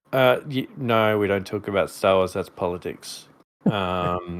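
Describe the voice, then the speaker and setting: A man speaks at a fairly slow pace. His voice is fairly low, with ordinary pitch variation. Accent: Australian. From Queensland, Australia. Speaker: live stream co-host.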